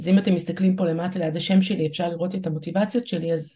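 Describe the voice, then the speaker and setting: A woman's somewhat breathy, dark and mellow voice at a very fast pace with fairly even intonation. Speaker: startup CEO and organizational consultant. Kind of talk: interview with live workshop.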